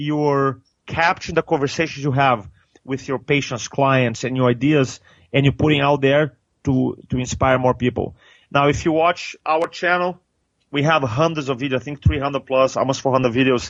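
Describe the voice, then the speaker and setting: With a Brazilian accent, a man speaks at a fairly high pitch and a moderate pace. His intonation stays fairly even. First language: Portuguese. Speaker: public speaking coach, trainer. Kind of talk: podcast interview answer.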